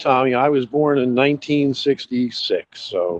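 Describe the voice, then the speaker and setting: A man talks at a fairly slow pace in a normal speaking voice, fairly high in pitch with ordinary variation. The sound is dry and close with no echo. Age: 50s. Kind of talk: casual chat.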